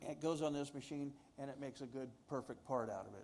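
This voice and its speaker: A man's fairly high voice with a dark, mellow tone at a very fast pace. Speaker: manufacturing company manager. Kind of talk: presentation to audience. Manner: loud.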